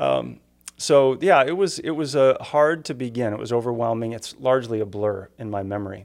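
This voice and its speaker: Here is an ordinary speaking voice: a man with an American accent, a medium pitch, lively intonation and a moderate pace. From Upper Peninsula of Michigan. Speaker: pastor. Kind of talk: casual chat.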